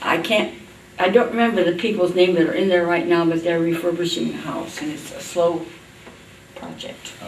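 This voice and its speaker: Amid noticeable background noise and audible room echo, a woman with a fairly low pitch speaks at a moderate pace with ordinary pitch variation. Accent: American. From US Midwest, Indiana. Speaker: oral history interviewee. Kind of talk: oral history interview. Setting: library.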